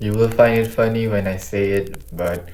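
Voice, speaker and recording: With a non-native accent, a man speaks at a very slow pace with fairly even intonation, and audible room echo is present. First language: not English. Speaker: YouTuber, language learning. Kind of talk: casual vlog monologue.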